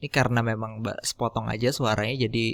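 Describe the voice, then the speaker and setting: A man's medium-pitched voice with vocal fry at a fairly quick pace, dry and close with no echo, on a very clean recording with a silent background. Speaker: podcaster teaching audio editing. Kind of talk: tutorial.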